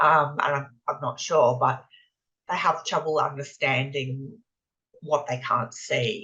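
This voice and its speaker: A woman speaks at a very slow pace with a bright, sharp tone and a very deep, low pitch. She talks in an Australian accent. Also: ordinary pitch variation. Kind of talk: interview. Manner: halting, with frequent repetitions.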